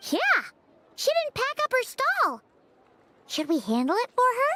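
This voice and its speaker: This put-on character voice sits at an extremely high pitch with very wide pitch swings. It moves at a moderate pace. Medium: video game.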